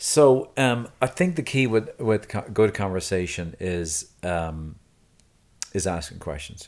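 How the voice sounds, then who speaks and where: Over a very clean recording with a silent background, a man at fairly low pitch speaks at a very slow pace with lively intonation. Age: 50s. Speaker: podcast co-host. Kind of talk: casual chat. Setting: studio.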